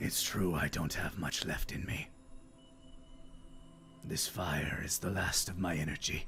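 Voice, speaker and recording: A man's put-on character voice, very deep and low in pitch, at a fairly slow pace over clear music in the background. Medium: actual play. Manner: dry, amused, grandfatherly.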